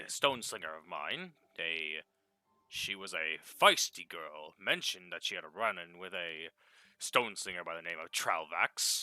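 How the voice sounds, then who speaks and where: A man uses a put-on character voice, very deep and low, with big swings in loudness and a dry, close sound with no echo. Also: moderate pace, ordinary pitch variation. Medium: actual play. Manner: confident, lecturing.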